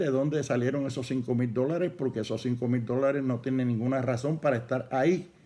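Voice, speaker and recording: This man has a dark, mellow tone at a medium pitch. He talks at a moderate pace. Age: 70s. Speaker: pastor. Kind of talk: sermon.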